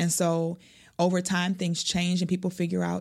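With an American accent, a woman speaks at a fairly quick pace in a fairly low voice with monotone, flat intonation. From Milwaukee, Wisconsin. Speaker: youth advocate and math teacher. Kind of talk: interview conversation.

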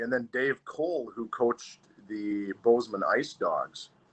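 A man speaks with an Upper Midwest accent at a fairly slow pace. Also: big swings in loudness. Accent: Upper Midwest American. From Wausau, Wisconsin (US Upper Midwest). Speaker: former hockey player. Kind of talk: casual interview.

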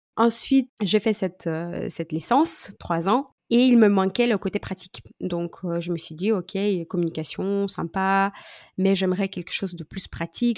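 In a normal speaking voice, a woman talks at a moderate pace with ordinary pitch variation, the sound dry and close with no echo. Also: very clean recording, silent background. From Moldova. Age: 30s. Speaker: social media coach. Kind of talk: casual interview.

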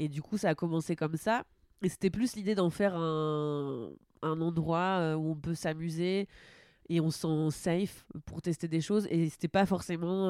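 In a very clean recording with a silent background and a dry, close sound with no echo, a woman speaks at a moderate pace with a fairly low pitch, a dark, mellow tone and fairly even intonation. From northern France, Normandy. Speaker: comedian. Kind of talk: casual chat.

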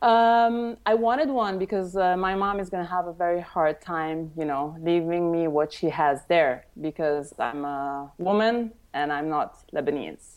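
In an Italian accent, a woman with a fairly low voice speaks at a moderate pace with lively intonation. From Italy, Tuscany. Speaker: wedding photographer. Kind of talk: interview.

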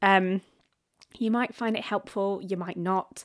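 In a very clean recording with a silent background, a woman with a normal speaking voice talks at a fairly slow pace, her medium pitch carried by fairly even intonation. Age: 30s. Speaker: podcast host and digital marketer. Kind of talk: solo monologue. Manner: casual, with fillers.

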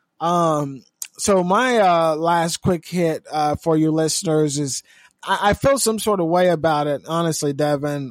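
With an American accent, a man talks at a fairly slow pace in a high voice with ordinary pitch variation. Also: dry, close sound with no echo. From California. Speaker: news podcast co-host. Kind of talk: casual news commentary.

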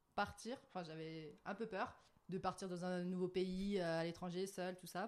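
This woman has an ordinary speaking voice at a medium pitch. Her pace is fairly slow. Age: 20s. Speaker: guest, digital marketing graduate. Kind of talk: casual chat.

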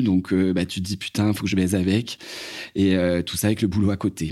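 A man's fairly low voice has a dark, mellow tone and a monotone, flat intonation. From France, Loire valley near Blois. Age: 40s. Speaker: salesman giving testimony. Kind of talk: testimony.

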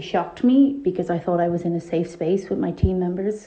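Her pace stays moderate. The woman's pitch sits fairly low. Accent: Irish. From Ireland. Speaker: listener voice note. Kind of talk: voice note testimony.

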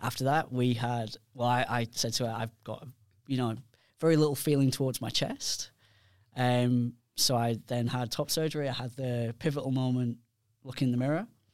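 The speaker has a British accent and a monotone, flat intonation. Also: man, medium pitch for a man, moderate pace, very clean recording, silent background. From United Kingdom. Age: 40s. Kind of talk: casual chat.

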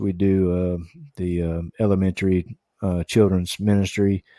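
A man's very deep, low voice with a dark, mellow tone and a Southern US accent, fairly slow, on a very clean recording with a silent background and a dry, close sound with no echo. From US South, Tennessee and Kentucky. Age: 40s. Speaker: podcast co-host, kayak angler. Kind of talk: casual interview.

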